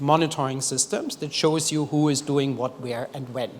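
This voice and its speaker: A man's voice against noticeable background noise. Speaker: development expert presenting at a forum. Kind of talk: conference presentation. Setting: stage with audience.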